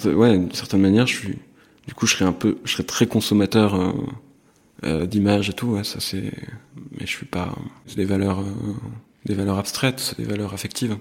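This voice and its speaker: A man speaks at a moderate pace in a fairly low voice, his intonation fairly even and broken by long, frequent pauses. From northern France (Compiègne). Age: 20s. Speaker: artist. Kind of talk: interview. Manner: halting, many hesitations.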